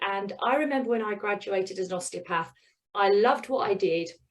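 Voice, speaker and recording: An animated woman with a British accent speaks at a fairly high pitch. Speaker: business mentor. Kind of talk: presentation. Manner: fast.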